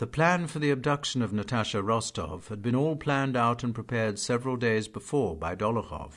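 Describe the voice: Someone does plain reading aloud, and the pitch varies in an ordinary way.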